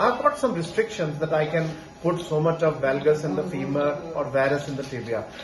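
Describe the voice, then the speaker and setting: Noticeable background noise sits behind this recording. A man with a fairly high pitch talks at a fairly quick pace. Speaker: orthopedic surgeon. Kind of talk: medical explanation to camera.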